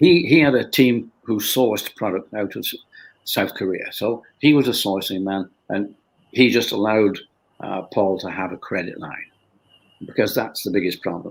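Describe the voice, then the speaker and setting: Speaking with a Lancashire accent, a man talks at a moderate pace in a fairly low pitch, with ordinary pitch variation and big swings in loudness. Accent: Northern English (Lancashire). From Bolton, England. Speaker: company founder. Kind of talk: interview answer.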